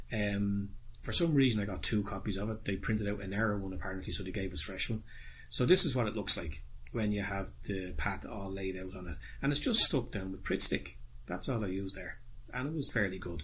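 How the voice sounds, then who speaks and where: This man talks at a fairly quick pace with an Irish accent. His pitch sits fairly low, with ordinary variation. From Ireland. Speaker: model railway hobbyist YouTuber. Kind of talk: tutorial. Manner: casual, hesitant with fillers. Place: home room. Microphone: phone near.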